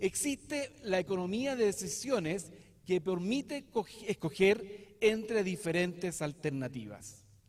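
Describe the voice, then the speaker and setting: A man with a southern Chilean accent speaks at a high pitch. His pace is fairly slow and his intonation lively. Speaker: lawyer and professor. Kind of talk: lecture. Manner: hesitant, many fillers.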